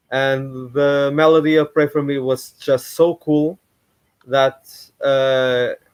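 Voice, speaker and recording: A man with a Portuguese accent, speaking at a very slow pace. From Portugal. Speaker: YouTuber. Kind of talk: live stream commentary. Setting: live stream at home. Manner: halting.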